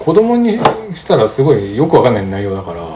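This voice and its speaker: Noticeable background noise and audible room echo surround a man who talks at a fairly quick pace with very wide pitch swings. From Mie Prefecture, Japan. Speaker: podcast co-host. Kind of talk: casual chat.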